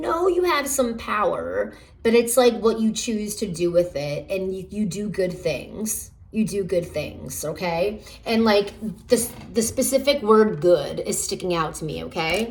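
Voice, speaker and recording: Vocal fry runs through this fairly slow delivery, with audible room echo around it. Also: woman, medium pitch for a woman, lively intonation. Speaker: tarot reader. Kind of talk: pick-a-card tarot reading. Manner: halting, many fillers.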